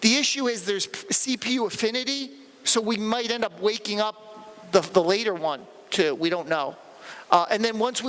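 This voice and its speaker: High pitch for a man, with ordinary pitch variation. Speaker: conference speaker. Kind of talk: technical talk Q&A. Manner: halting, repetitive.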